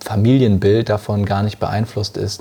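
Somewhat breathy and dark, mellow in tone, a man talks at a moderate pace with monotone, flat intonation. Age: 20s. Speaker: coffee importer and entrepreneur. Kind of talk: interview conversation. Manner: confident, professional.

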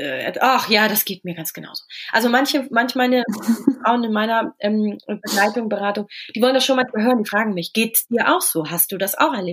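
Over noticeable background noise, a woman with a fairly high pitch talks at a fairly quick pace with ordinary pitch variation. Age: 30s. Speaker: coach and author on high sensitivity. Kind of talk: podcast interview. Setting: remote recording. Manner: hesitant, many filler sounds.

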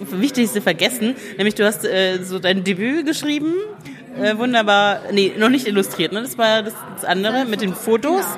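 With noticeable background noise behind her, a woman speaks at a moderate pace with lively intonation and a fairly high pitch. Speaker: podcast host, book blogger. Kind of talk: interview. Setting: café.

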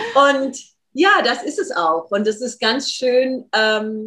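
A woman's voice with ordinary pitch variation. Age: 40s. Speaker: dance therapist and workshop leader. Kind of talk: interview.

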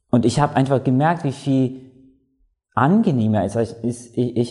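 At a fairly slow pace, a man with a dark, mellow tone speaks in a medium pitch with ordinary pitch variation. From Latvia. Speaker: pharmacist. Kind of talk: interview testimony.

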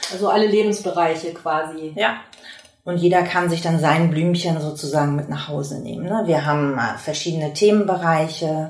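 A woman with a fairly low pitch talks at a moderate pace with fairly even intonation. Noticeable background noise is present. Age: 50s. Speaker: workshop trainer and patient volunteer. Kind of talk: interview; scripted intro.

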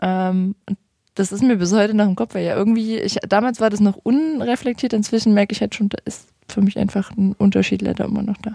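Close and dry with no echo, a woman's somewhat breathy voice has a dark, mellow tone, medium pitch and fairly even intonation as she moves at a fairly quick pace. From Saxony, Vogtland. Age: 20s. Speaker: youth politician. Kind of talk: interview.

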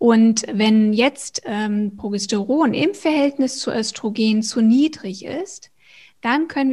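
Speaking at a very slow pace, a woman has a dark, mellow tone and a fairly high pitch with ordinary pitch variation, heard in a very clean recording with a silent background. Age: 40s. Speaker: hormone coach and personal trainer. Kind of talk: interview.

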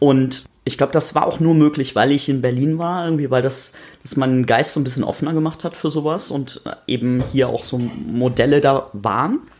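An unremarkable speaking voice from a man, at a moderate pace with ordinary pitch variation. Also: fairly high pitch for a man. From North Rhine-Westphalia, rural. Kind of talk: casual chat. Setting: home kitchen.

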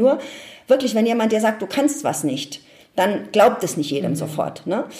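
Noticeable background noise sits behind a woman's voice. She speaks fairly quickly at a fairly high pitch. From Ludwigshafen, Palatinate, Germany. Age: 50s. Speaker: change management expert and speaker. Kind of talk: interview. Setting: at home.

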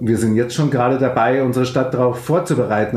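Fairly even intonation from a man, with audible room echo. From Upper Bavaria, Fürstenfeldbruck near Munich. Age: 50s. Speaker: club owner and city councillor. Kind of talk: interview. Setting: video call.

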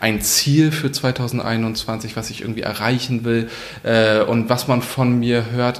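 Using a normal speaking voice, a man keeps his intonation fairly even at a medium pitch. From northern Germany, Kiel. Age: 30s. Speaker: politician. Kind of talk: interview. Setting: parliament office.

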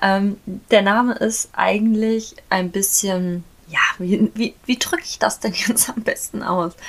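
Very slowly, a woman speaks at medium pitch. Her pitch variation is ordinary. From Germany, near Frankfurt am Main. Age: 20s. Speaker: podcaster, equestrian. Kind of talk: casual monologue. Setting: home, dressing room with sheets for acoustics.

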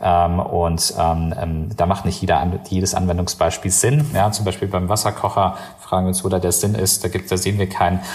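A man's very deep, low pitch at a moderate pace, with very even loudness and fairly even intonation. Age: 30s. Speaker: company founder and CEO. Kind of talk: interview. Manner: halting, many fillers.

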